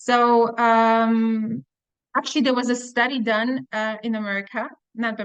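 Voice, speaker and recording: The speaker is a woman with a fairly high voice. Her intonation stays fairly even. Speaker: webinar trainer. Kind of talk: webinar presentation. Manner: halting.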